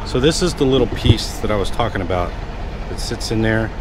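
A man is speaking with noticeable background noise. The sound is dry, with no echo. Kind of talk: casual vlog chat. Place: street. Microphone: phone near.

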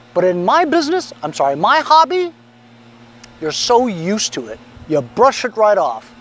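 A man talks at a high pitch with big pitch swings. His tone is fairly bright. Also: moderate pace.

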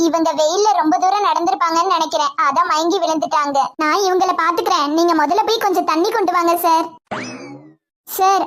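A woman uses a put-on character voice at a moderate pace. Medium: voice reel. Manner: caring, reassuring.

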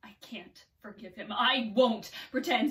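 A woman is speaking. Her voice is raised and projected. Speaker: actor. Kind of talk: acting monologue. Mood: angry, bitter, emotional. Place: home room. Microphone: camera far.

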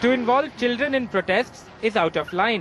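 There is noticeable background noise throughout. The speaker keeps a moderate pace. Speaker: TV news reporter. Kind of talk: scripted TV news report with a stern, disapproving tone. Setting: voiceover for a TV news package. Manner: formal, measured, emphatic delivery.

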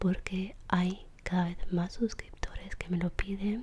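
A soft-spoken woman talks at a very slow pace in a gentle, relaxed tone. Noticeable background noise is present. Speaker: ASMR creator. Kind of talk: ASMR soft spoken talk to camera. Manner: soft-spoken, gentle, relaxed. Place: home room. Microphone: studio mic.

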